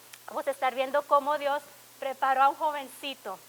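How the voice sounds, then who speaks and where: Noticeable background noise behind a woman talking at a moderate speed. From Laredo, Texas. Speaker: pastor. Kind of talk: sermon.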